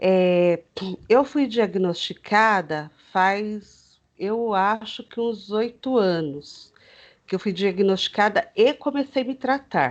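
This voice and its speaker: Against a quiet background, a woman with fairly high pitch speaks at a very slow pace with lively intonation. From Greater São Paulo, Brazil (Osasco). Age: 40s. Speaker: teacher with fibromyalgia, interviewee. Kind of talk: interview, personal testimony. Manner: hesitant, many fillers.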